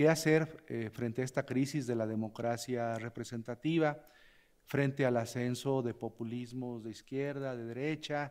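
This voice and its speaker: Against a quiet background, a man with a medium pitch and a dark, mellow tone talks at a fairly slow pace with fairly even intonation. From Mexico. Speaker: law scholar, commentator; commentator. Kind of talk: panel commentary. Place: hall. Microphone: podium.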